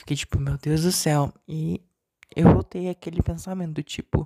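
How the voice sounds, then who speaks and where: A shrill man talks at a fairly slow pace in a dry, close sound with no echo. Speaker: solo podcaster. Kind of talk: personal monologue. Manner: deliberately lower, not forced pitch.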